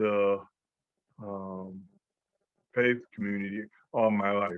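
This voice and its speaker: A man's fairly low voice at a very slow pace. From upstate New York (born in Georgia). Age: 50s. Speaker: minister and speaker. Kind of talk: interview. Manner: halting, many fillers.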